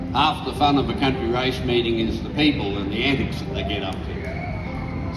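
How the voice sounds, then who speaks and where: A man with an Australian accent speaks with ordinary pitch variation while music plays in the background. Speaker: bush poet. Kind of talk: casual talk to a live audience.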